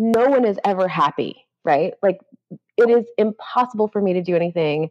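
In a dry, close sound with no echo, a woman with an unremarkable speaking voice talks at medium pitch and moderate pace with lively intonation. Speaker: author and editor. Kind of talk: casual interview conversation.

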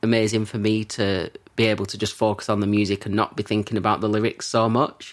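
This man talks at a fairly quick pace in a fairly low voice. His intonation is monotone and flat. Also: very clean recording, silent background. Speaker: musician and composer. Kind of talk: casual chat.

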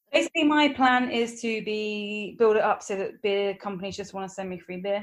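With big swings in loudness, a woman delivers her words at a fairly quick pace. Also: fairly high pitch for a woman, ordinary pitch variation. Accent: English. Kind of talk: casual chat.

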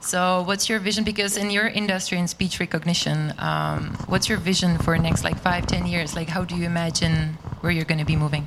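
A woman speaks at a fairly quick pace with hardly any pauses, her pitch fairly low, against noticeable background noise. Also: fairly even intonation. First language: Czech. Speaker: interviewer. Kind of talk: live interview.

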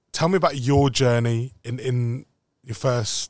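An unremarkable speaking voice comes from a man at medium pitch with fairly even intonation. The recording is very clean, with a silent background. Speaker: club podcast host. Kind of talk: casual interview chat.

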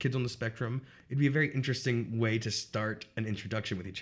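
Here a man talks at a very fast pace, somewhat breathy, with medium pitch and fairly even intonation. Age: 30s. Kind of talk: casual interview.

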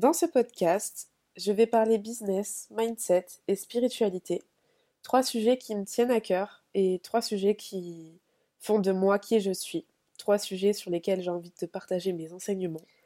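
A woman's medium-pitched, dark, mellow voice at a fairly slow pace, with a dry, close sound and no echo. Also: ordinary pitch variation. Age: 20s. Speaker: podcaster, business and spirituality coach. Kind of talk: solo podcast monologue. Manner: hesitant, many fillers.

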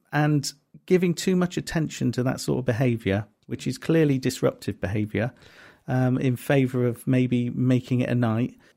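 The tone is dark and mellow, delivered at a moderate pace with ordinary pitch variation. The recording is very clean, with a silent background. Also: man, medium pitch for a man. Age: middle-aged. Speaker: comedy promoter and podcast co-host. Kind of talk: casual chat.

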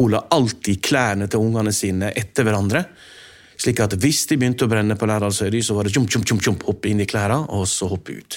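Here is a man with an unremarkable speaking voice and a fairly low pitch. He moves at a fairly quick pace with ordinary pitch variation on a very clean recording with a silent background. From Norway, Lærdal (Sogn). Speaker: journalist and author. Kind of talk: interview.

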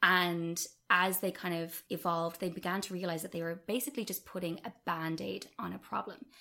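With a bright, sharp tone, the speaker goes at a fairly quick pace and keeps the intonation fairly even. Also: woman, fairly low pitch for a woman. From Ireland, West Cork. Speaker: charity worker. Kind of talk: podcast interview.

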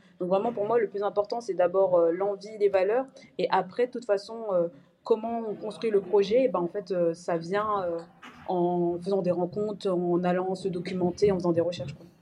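A woman's normal speaking voice, medium in pitch, at a moderate pace. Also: fairly even intonation. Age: 20s. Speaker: fashion brand co-founder. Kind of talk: interview.

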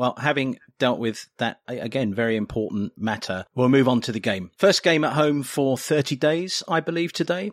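In a very clean recording with a silent background, a man speaks with an English accent. His intonation is lively and his pace fairly quick. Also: dry, close sound with no echo. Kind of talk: casual chat.

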